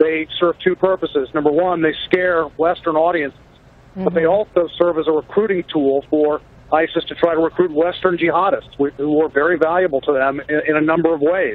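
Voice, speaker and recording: A man with a normal speaking voice delivers his words at a fairly quick pace, his pitch fairly high and his intonation fairly even. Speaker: news correspondent. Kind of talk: TV news report.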